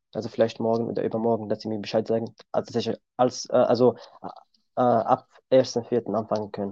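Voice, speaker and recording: A man with a Kurdish accent speaks at medium pitch and a moderate pace, his dark, mellow tone delivered in a monotone, flat way. The sound is dry and close, without echo. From Syria. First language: Kurdish (speaking German). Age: 20s. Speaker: car mechanic. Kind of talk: interview. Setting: video call.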